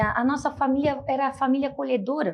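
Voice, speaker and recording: A woman with a strong Santa Catarina accent speaks at a high pitch. Her pace is moderate, and the background is quiet. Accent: strong local Itajaí. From Brazil, Itajaí, Santa Catarina. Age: 30s. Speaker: city councillor and lawyer. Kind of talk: interview.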